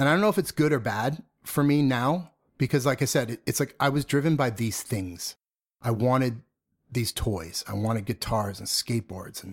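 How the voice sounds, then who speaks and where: In a very clean recording with a silent background and a dry, close sound with no echo, a man talks in a normal speaking voice at medium pitch, with ordinary pitch variation and a fairly quick pace. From northern suburbs of Boston, Massachusetts. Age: 40s. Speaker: punk musician turned corporate design executive. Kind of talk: interview. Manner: frequent fillers and repetitions.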